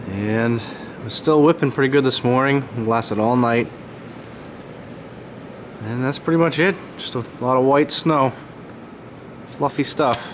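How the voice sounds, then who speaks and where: A man speaks at a medium pitch and a fairly slow pace, with ordinary pitch variation. Long, frequent pauses break up his speech, and background noise is noticeable. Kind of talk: casual talk to camera.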